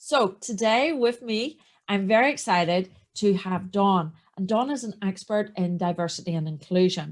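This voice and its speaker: The speaker has a strong Northern Irish accent and lively intonation at a moderate pace. The recording is very clean, with a silent background. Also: woman, medium pitch for a woman. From Northern Ireland. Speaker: podcast host. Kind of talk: podcast interview.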